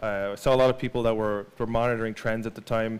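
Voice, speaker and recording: In an Irish accent, a man with a medium pitch talks at a very fast pace with monotone, flat intonation. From Ireland. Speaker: digital marketing speaker. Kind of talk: presentation. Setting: stage with audience. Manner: halting, many fillers and repeats.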